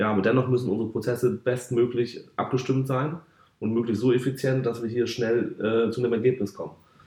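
A somewhat breathy man's voice, dark and mellow in tone, at medium pitch, fairly quick, with fairly even intonation. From northern Germany, North Sea coast (Varel). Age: 30s. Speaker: football club sponsorship manager. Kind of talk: podcast interview. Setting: football stadium.

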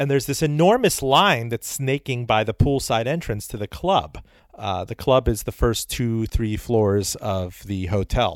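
Speaking at a fairly slow pace, a man with an unremarkable speaking voice uses a medium pitch and lively intonation. The recording is very clean, with a silent background and a dry, close sound with no echo. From Miami, Florida (born in Iran, moved as small child). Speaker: author and radio host. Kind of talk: interview.

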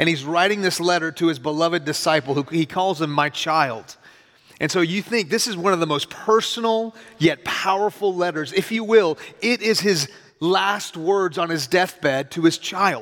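Amid noticeable background noise, a man speaks at a moderate pace in a high pitch with ordinary pitch variation and an animated tone. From US (Houston) with childhood in Iran. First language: Farsi. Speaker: pastor. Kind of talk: sermon. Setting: church.

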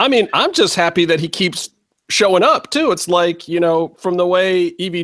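This man has a high pitch and ordinary pitch variation. He talks at a moderate pace. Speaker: podcast host. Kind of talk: casual chat. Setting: video call.

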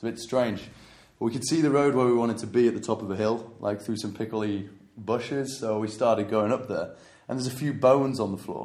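A man with an English accent speaks at a fairly quick pace and a medium pitch, his intonation fairly even but his loudness swinging widely, with audible room echo. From England. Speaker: traveller. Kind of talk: casual chat. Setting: in Goa, India.

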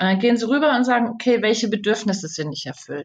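Somewhat breathy, a woman's voice shows ordinary pitch variation. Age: 50s. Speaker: communication trainer and author. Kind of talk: interview.

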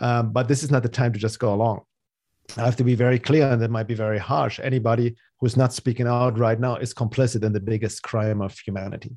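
A man's very fast, monotone, flat delivery in a German accent, medium in pitch with a dark, mellow tone, against a quiet background. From Germany, Munich. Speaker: spiritual teacher and healer. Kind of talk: casual conversational interview.

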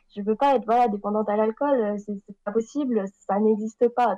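This woman's intonation stays fairly even as she talks at a moderate speed. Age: 20s. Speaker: recovering alcoholic, author. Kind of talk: testimony. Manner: halting.

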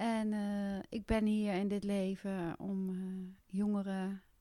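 A woman of medium pitch speaks in a monotone, flat intonation with a dark, mellow tone. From Netherlands, Gelderland (Westervoort). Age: 40s. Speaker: karate champion and youth coach. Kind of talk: podcast interview.

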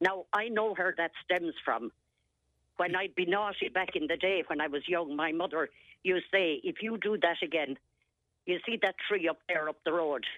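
In an Irish accent, a woman with a fairly low pitch speaks at a moderate pace. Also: ordinary pitch variation. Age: 70s. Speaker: caller. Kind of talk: radio phone-in.

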